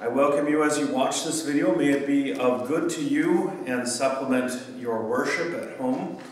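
In a room with audible echo, a man speaks at a fairly slow pace with fairly even intonation. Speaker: pastor. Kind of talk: service welcome announcements. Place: church. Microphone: camera far.

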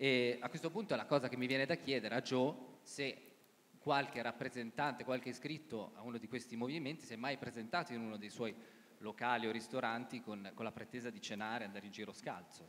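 At a very fast pace, a man speaks with ordinary pitch variation over light background noise. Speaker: pollster and co-author. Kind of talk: comedic live segment. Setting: speaking from control room. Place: stage.

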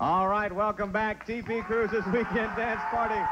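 Here a man speaks in a high pitch at a moderate pace. Background noise is noticeable. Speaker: TV show host. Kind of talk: TV show hosting patter. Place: hall. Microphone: handheld.

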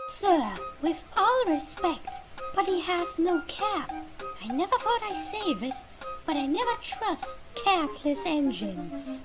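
A female-sounding, put-on character voice of extremely high pitch moves at a fairly slow pace with long, frequent pauses while clear music plays in the background. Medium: comedy sketch. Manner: haughty, scornful.

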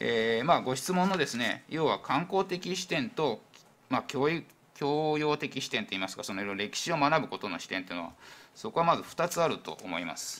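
This man talks at a fairly quick pace with a fairly high pitch and vocal fry. His pitch swings very widely. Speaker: town industry section chief. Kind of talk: formal council answer. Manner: hesitant, filler-heavy. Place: hall. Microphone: podium.

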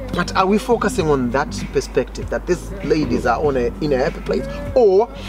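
A man talking at a fairly quick pace, dry sound with no echo, clear music in the background. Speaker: guest. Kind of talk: casual discussion. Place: garden.

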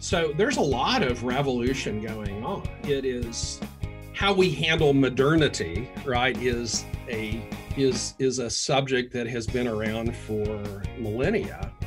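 A man talks at a fairly slow pace while clear music is heard behind him. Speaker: podcast guest. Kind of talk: interview answer. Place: home room.

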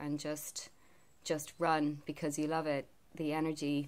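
Her voice is very deep and low, and the woman speaks in monotone, flat intonation. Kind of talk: casual vlog chat. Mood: calm, reflective. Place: home room. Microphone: phone near.

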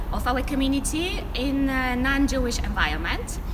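Noise in the background is clearly present. Over it, a woman talks. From Poland. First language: Polish. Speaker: community organization leader. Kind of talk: prepared presentation. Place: street. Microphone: camera far.

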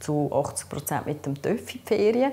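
A woman speaks with a dark, mellow tone in a Swiss accent. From German-speaking Switzerland. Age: 50s. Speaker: patient sharing experience; interviewee. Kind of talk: interview testimony. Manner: halting, many fillers. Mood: calm, earnest. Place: home room.

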